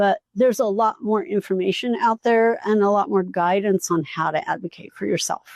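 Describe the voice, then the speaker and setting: With a plain, everyday voice at medium pitch, a woman talks at a moderate pace with ordinary pitch variation and hardly any pauses, the sound dry and close with no echo. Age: 60s. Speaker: podcast host, physical therapist. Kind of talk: casual chat. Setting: live at a retreat.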